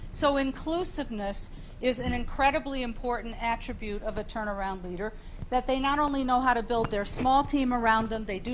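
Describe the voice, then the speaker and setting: Here is a woman with an unremarkable speaking voice. Her pitch is fairly high and her pace moderate. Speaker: panelist on leadership. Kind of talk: panel discussion.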